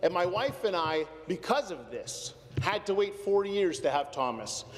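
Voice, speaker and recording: A man talks in a Canadian accent. Noticeable background noise runs under his voice. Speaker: politician. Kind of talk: parliamentary speech. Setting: legislative chamber.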